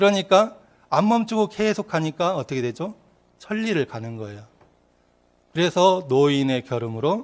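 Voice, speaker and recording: Against a quiet background, a man speaks at a moderate pace with very wide pitch swings and long, frequent pauses. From Korea, rural Yeonggwang area. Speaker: Won Buddhist minister giving dharma talks. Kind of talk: dharma talk. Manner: conversational storytelling.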